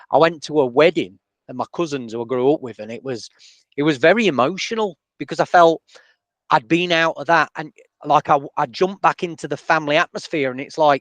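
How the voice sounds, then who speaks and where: A man with a Sheffield accent talks at a fairly quick pace and fairly high pitch, with ordinary pitch variation and big swings in loudness. The sound is dry and close with no echo, and the background is quiet. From northern England, Sheffield. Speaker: podcast host and DJ. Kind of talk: interview.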